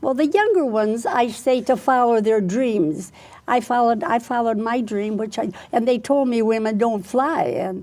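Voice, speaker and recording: The speaker is a woman with a fairly high pitch. Her tone is dark and mellow. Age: 80s+. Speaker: retired military pilot and speaker. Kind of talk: interview. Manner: halting.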